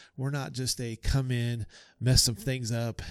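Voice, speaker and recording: At a fairly slow pace and medium pitch, a man with an unremarkable speaking voice is heard on a very clean recording with a silent background. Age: 40s. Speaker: pastor. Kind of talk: interview conversation.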